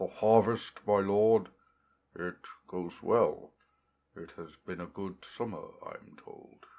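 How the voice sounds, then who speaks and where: A man puts on a character voice with a fairly low pitch. He speaks at a very slow pace with long, frequent pauses. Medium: read story.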